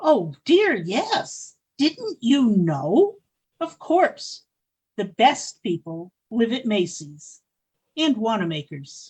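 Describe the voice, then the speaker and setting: Someone performs a put-on character voice, fairly high in pitch, at a very slow pace with very wide pitch swings. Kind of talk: 1940s radio acting. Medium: audio drama. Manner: imperious, genteel.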